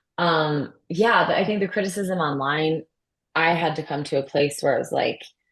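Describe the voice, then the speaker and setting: A woman's fairly low, somewhat breathy voice with an American accent, at a moderate pace and with ordinary pitch variation. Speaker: baseball play-by-play announcer. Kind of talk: interview. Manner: casual, many fillers.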